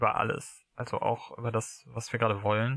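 A man's medium-pitched voice, bright and sharp in tone, monotone and flat, at a fairly slow pace. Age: 20s. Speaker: podcast guest in a long-distance relationship. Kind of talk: casual conversation. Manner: halting.

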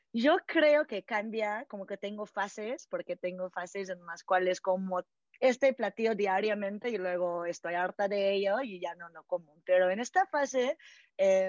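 A woman talks at a fairly slow pace in an unremarkable speaking voice. Her pitch sits in the medium range. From California, US. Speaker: founder of a vegetarian community project. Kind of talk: interview. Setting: podcast interview.

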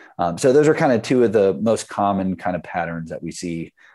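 With a quiet background, a man speaks at a fairly low pitch. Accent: slight Southern US. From US South Carolina. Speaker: startup founder, product manager. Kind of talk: technical talk with slides. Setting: video call.

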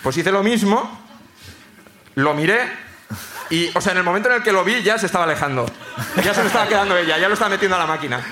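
Amid audible room echo and noticeable background noise, a man uses a raised, projected voice with a high pitch and lively intonation, talking at a very fast pace broken by long, frequent pauses. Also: very even loudness. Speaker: comedian, screenwriter. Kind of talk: stand-up storytelling. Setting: stage with live audience.

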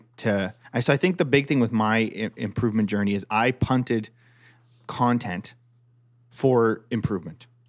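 In a very clean recording with a silent background, a man with a Canadian accent has an unremarkable speaking voice at medium pitch, with ordinary pitch variation and a moderate pace. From Ontario, Canada. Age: 30s. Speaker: golf podcast host. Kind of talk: casual chat.

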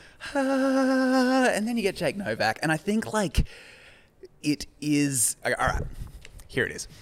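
Pausing long and often, a man with an Australian accent speaks at a fairly slow pace and a high pitch, with very wide pitch swings. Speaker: podcast co-host, comedian. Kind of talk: casual chat.

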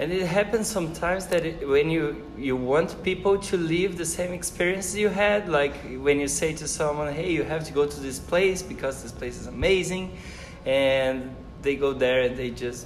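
Amid noticeable background noise and audible room echo, a man with a Portuguese accent speaks at a fairly high pitch and a moderate pace with ordinary pitch variation. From Brazil. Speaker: professor. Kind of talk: casual chat. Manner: halting.

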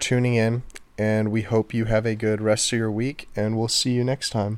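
A man's medium-pitched voice stays monotone and flat while moving at a moderate pace. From Texas, Houston. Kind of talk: casual chat. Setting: home, on a couch.

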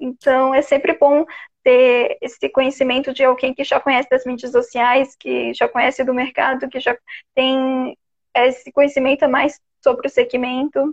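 A woman with a high pitch speaks at a fairly slow pace in a monotone, flat intonation, with a dry, close sound and no echo. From Santa Catarina, Brazil (Florianópolis). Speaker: podcast host. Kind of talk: live-stream conversation. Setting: live stream on Instagram.

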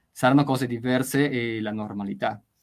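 Keeping a moderate pace, a man talks in fairly even intonation. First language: Spanish (speaking Italian). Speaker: literature professor. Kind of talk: interview. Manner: hesitant, many fillers.

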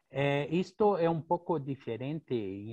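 Speaking very slowly, a man keeps to a medium pitch. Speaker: architecture professor. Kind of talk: Q&A question.

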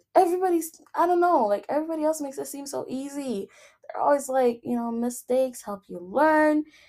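The speaker has a non-native accent and a fairly quick pace. Intonation is lively, and loudness swings widely. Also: woman, high pitch for a woman. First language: not English. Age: 20s. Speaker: podcast host. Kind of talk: casual monologue. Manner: frequent laughter; filler-heavy, halting.

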